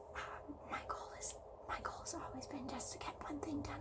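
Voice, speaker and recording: A woman whispers in a gentle tone. Noticeable background noise sits behind her. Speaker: ASMR video creator. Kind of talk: ASMR personal attention, soft-spoken affirmations. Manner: soft-spoken, gentle, whispering.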